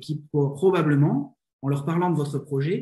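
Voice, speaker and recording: A man's fairly high voice carries a dark, mellow tone and is somewhat breathy. He talks at a fairly slow pace. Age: 20s. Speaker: business consultant and coach. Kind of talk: interview. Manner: hesitant, frequent fillers and repetitions.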